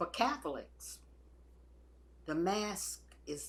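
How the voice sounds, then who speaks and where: Audible room echo surrounds a woman speaking very slowly. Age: 80s+. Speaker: retired church volunteer. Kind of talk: personal testimony.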